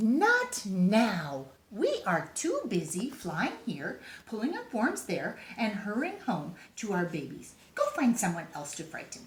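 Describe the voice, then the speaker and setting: A woman's put-on character voice, medium in pitch, at a fairly slow pace. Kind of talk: bedtime story. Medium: read story. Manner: hushed, brisk.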